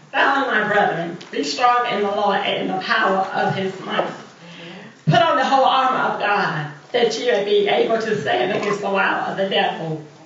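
Audible room echo and light background noise surround speech delivered at a moderate pace. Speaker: minister reading scripture. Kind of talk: scripture reading. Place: church. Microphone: camera far.

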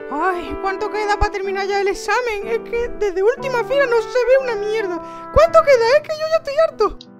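In a put-on character voice, a woman sounds anxious and whiny, talking at a fairly quick pace with hardly any pauses. Clear music plays in the background. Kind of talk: comic parody dubbing. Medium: fan dub. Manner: anxious, whiny, exasperated.

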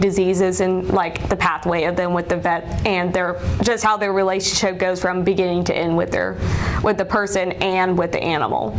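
Speaking with an American accent at a fairly quick pace, a woman keeps a monotone, flat intonation over light background noise. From South Carolina, Columbia. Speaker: veterinary student. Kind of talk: interview. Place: office. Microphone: lapel.

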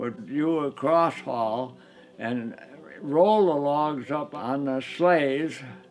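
With music in the background, a man with an American accent talks in a fairly high voice with ordinary pitch variation. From northern Michigan. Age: 80s+. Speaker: local history narrator. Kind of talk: documentary interview narration. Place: home room.

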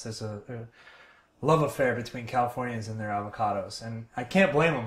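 A man speaks at a very fast pace, somewhat breathy, with fairly even intonation. Audible room echo surrounds the voice. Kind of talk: cooking tutorial. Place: kitchen.

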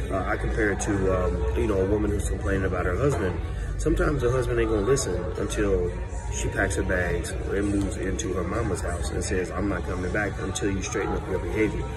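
A man talking at a very fast pace over loud background music. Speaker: social commentator. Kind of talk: casual vlog chat turning to commentary. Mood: assertive, opinionated. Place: cafe. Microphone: phone near.

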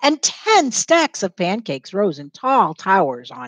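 A woman speaks at a fairly slow pace with vocal fry and very wide pitch swings. The sound is dry with no echo, over a quiet background. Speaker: teacher reading aloud. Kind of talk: read-aloud storytelling. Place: classroom. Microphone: headset.

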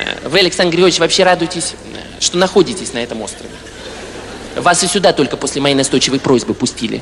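A man speaks at a very fast pace over light background noise. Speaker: comedian. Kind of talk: stand-up comedy monologue. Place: stage. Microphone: handheld.

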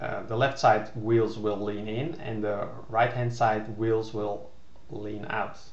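With a non-native accent, a man speaks very slowly in a fairly low, monotone voice with flat intonation, and the room echo is audible. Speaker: game developer. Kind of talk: casual narrated screen demo. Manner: hesitant, many filler words. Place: home room. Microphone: webcam.

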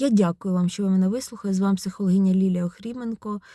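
A woman speaks at a medium pitch in a dark, mellow tone with fairly even intonation. The sound is dry and close with no echo, on a very clean recording with a silent background. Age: 40s. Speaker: psychologist, video blogger. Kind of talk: personal vlog monologue. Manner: conversational, reflective.

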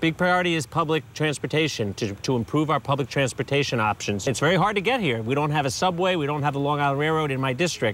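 A man speaks at a very fast pace. His loudness stays very even throughout. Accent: New York. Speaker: city council member. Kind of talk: interview on a tour. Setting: on location.

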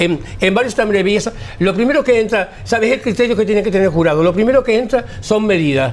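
The pace is very fast. Intonation is lively throughout. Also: man. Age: 60s. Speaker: hairstylist and carnival designer; interviewee. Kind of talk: interview. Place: home room. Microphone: lapel.

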